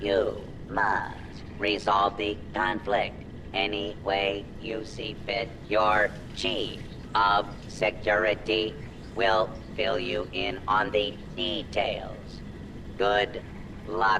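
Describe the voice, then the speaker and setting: Against loud background noise, a man uses a put-on character voice at a fairly low pitch, moving at a very slow pace with long, frequent pauses. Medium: video game. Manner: formal, stiff, condescending.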